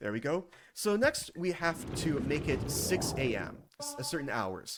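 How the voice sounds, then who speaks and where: A man speaks with a fairly high pitch and very wide pitch swings. Noticeable background noise runs underneath. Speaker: speedrunner. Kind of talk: live commentary. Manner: fast.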